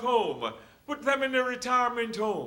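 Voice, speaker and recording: This man's pitch is extremely high, and he talks at a fairly slow pace. Audible room echo surrounds his voice. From Jamaica. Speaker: hospital chaplain. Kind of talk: lecture.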